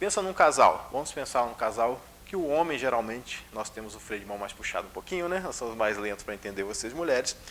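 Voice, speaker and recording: The speech moves at a fairly quick pace with lively intonation. Room echo is audible. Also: man. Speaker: spiritist lecturer. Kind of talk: lecture. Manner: controlled pace, usually fast.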